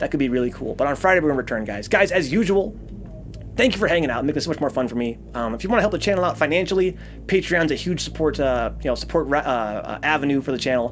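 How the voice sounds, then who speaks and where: Noticeable background noise sits behind a man talking at a very fast pace. His pitch is fairly high and his intonation lively. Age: 30s. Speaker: streamer and programming teacher. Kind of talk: live-stream tutorial wrap-up. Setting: live stream. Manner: stammering, many fillers.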